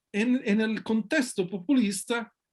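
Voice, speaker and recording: A man with an Italian accent speaks at a very slow pace. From Italy. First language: Italian (speaking Spanish). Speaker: sociology researcher and author. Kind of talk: interview. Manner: halting, many fillers and restarts.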